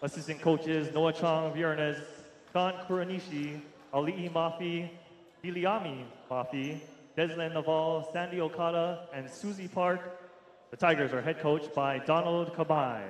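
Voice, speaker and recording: A man speaks at a moderate pace with fairly even intonation, with audible room echo and light background noise. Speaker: public address announcer. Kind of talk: starting lineup announcements. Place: hall.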